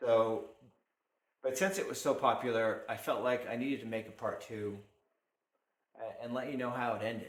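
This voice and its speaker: In a room with audible echo, a man talks at a moderate pace with long, frequent pauses. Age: 50s. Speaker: maker and blacksmith running a workshop channel. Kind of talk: casual monologue to camera. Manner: halting, many fillers and restarts.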